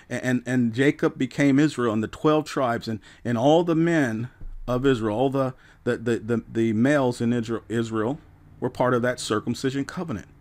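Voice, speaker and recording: A normal speaking voice keeps a moderate pace and ordinary pitch variation, recorded very cleanly against a silent background. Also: man, medium pitch for a man. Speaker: pastor and radio Bible teacher. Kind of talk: radio Bible preaching.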